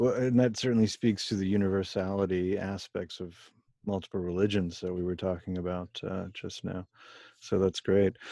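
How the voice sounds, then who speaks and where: A man speaks in a very deep, low pitch with a dark, mellow tone and monotone, flat intonation at a moderate pace. The sound is dry and close with no echo, over a quiet background. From US (immigrant from Germany/India family). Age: 40s. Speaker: podcast host. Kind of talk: interview conversation.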